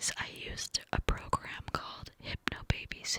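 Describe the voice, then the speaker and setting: A woman is whispering at a fairly slow pace while noticeable background noise runs underneath. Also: dry, close sound with no echo. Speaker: mother and ASMR content creator. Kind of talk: ASMR storytime ramble, cupped whisper. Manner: whispered, close, breathy, clicky.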